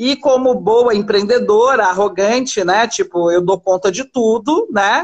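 A woman speaks in an unremarkable speaking voice, fairly high-pitched, with ordinary pitch variation. Her loudness stays very even, and she talks at a fairly slow pace with hardly any pauses. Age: 40s. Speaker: fashion entrepreneur. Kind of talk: live-stream interview. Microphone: unstable connection.

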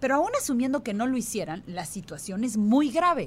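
Her pitch swings very widely as this woman talks at a fairly quick pace in a somewhat breathy voice. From Yucatán Peninsula, Mexico. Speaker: radio host. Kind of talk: radio interview.

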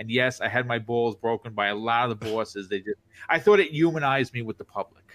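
Very fast male speech at medium pitch, with ordinary pitch variation. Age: 40s. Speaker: podcaster and content creator; former police officer. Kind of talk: casual interview answers.

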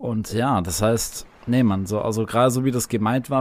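Ordinary pitch variation shapes the delivery. The speaker has a plain, everyday voice. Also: man. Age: 20s. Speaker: video gamer. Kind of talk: casual chat.

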